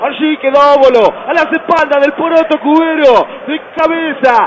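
Light noise runs underneath speech that moves somewhat slowly. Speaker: radio football commentator. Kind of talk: live sports commentary.

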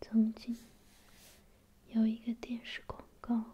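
At a very slow pace, a soft-spoken voice with a gentle tone comes through over light background noise. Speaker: reader. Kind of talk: quiet ASMR book reading. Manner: quiet, gentle, soft-spoken.

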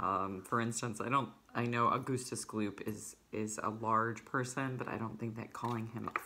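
The reading is done aloud in a natural voice, and the intonation stays fairly even.

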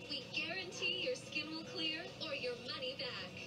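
The speech moves at a fairly slow pace over loud music in the background. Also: woman. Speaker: commercial announcer. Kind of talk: advertising voice-over. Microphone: old recording.

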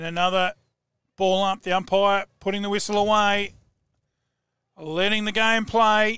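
A man with a high pitch speaks fairly slowly in a raised, projected voice, bright and sharp in tone, flat and monotone, with long, frequent pauses. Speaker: football commentator. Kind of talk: live sports commentary. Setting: commentary box.

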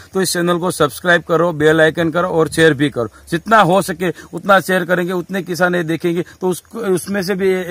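A man's high voice at a moderate pace. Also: dry sound with no echo. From Gujarat. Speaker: seed shop owner. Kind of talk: field interview. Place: farm. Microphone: phone near.

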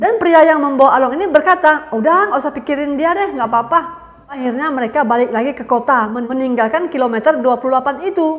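A woman's high voice at a fairly quick pace, with lively intonation and hardly any pauses. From Indonesia. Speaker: YouTuber. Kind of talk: true crime storytelling. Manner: casual, chatty. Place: home room. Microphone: earbuds.

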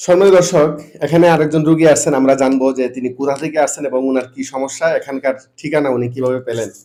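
A man speaks in a fairly high pitch with a dark, mellow tone and fairly even intonation. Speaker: paralysis treatment centre presenter. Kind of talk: patient interviews on video.

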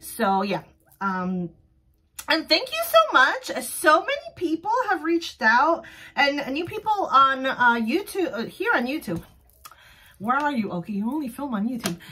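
A woman's raised, projected voice, high-pitched, with a bright, sharp tone, an animated delivery and very wide pitch swings. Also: moderate pace. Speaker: vlogger running a small sticker shop. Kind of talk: casual solo vlog. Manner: loud, animated. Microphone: phone near.

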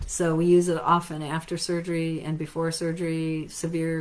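A woman speaks with an American accent at a moderate pace. Her pitch is fairly low and her intonation monotone and flat. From United States. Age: 50s. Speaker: natural health clinic owner and practitioner. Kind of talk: lecture. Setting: live stream. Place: office. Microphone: webcam.

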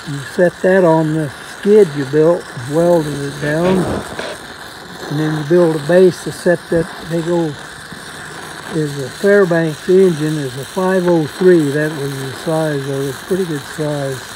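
Over noticeable background noise, a fairly high-pitched man speaks fairly slowly with fairly even intonation and long, frequent pauses. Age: 80s+. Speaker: welder. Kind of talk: casual storytelling conversation.

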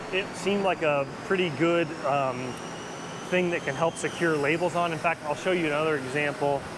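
A man talks at a moderate speed while clear background noise runs underneath. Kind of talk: walkthrough tutorial. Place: factory. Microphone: phone near.

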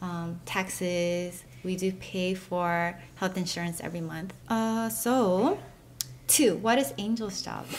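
A woman talks very slowly with a slight Korean accent. Light noise sits in the background. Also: ordinary pitch variation, hardly any pauses. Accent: American English with a slight Korean. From US South (Texas), Korean-American family. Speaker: beauty YouTuber and stay-at-home mom. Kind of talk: casual Q&A chat. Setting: at home, filming with husband while child sleeps. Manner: casual and giggly. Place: home room. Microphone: camera far.

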